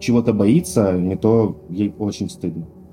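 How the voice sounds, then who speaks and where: A man with a fairly low pitch talks at a moderate pace. Noticeable background noise is present. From Russian Far East, Khabarovsk. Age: 20s. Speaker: lawyer. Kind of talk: personal story interview.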